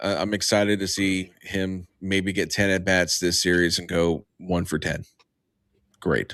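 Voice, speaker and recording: Putting on a raspy character voice, a man speaks at a moderate pace in a very deep, low pitch with monotone, flat intonation. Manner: sarcastic, deadpan.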